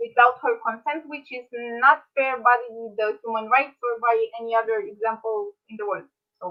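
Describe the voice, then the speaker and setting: Speaking in a high pitch, a woman has a Romanian accent. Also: ordinary pitch variation, moderate pace, big swings in loudness. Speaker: medical student, debater. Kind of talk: debate. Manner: halting, searching for words.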